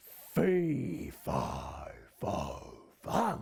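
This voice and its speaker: In a put-on character voice, a man sounds booming and raspy. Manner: bellowing.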